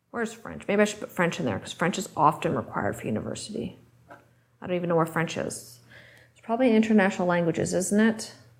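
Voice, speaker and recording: A woman's medium-pitched voice with vocal fry, lively intonation and big swings in loudness, at a very fast pace, with audible room echo. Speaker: high school teacher. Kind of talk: classroom instruction.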